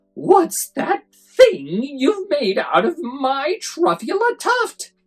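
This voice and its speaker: Someone delivers lines in a put-on character voice, very slowly. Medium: read story. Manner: bossy, indignant.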